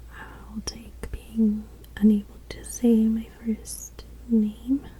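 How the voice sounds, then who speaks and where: A gentle, relaxed tone at a very slow pace over noticeable background noise. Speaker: ASMR creator. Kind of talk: ASMR game-playing talk to camera. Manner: soft-spoken, gentle, relaxed.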